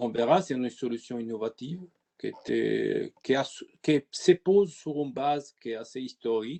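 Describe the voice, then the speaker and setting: A man speaks at a moderate pace with an Italian accent. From Italy. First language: Italian (speaking French). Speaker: IT consultant. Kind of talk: webinar presentation. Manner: halting.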